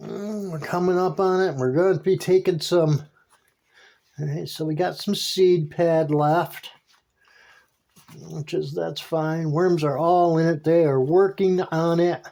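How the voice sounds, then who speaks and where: A man speaks with a high pitch in a dark, mellow tone. His pace is fairly slow, with long, frequent pauses. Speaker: vermicomposting vlogger. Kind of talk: casual video commentary. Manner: halting, many fillers and repeats; animated, enthusiastic.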